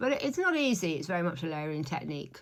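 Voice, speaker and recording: A woman's voice with vocal fry, in a British accent. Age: 60s. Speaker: beauty vlogger, stylist. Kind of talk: makeup tutorial vlog. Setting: at home in front of the mirror. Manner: casual, chatty with fillers.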